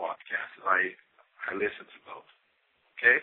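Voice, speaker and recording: A man speaks with a Brazilian accent. His pace is fairly slow. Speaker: listener caller. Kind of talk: voicemail message. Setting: phone voicemail.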